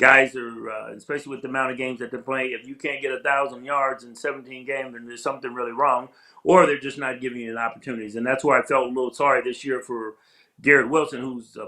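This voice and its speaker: A man with an American accent talks at a very fast pace in a medium-pitched, bright, sharp tone with monotone, flat intonation. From California. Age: 60s. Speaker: retired football player. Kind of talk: interview.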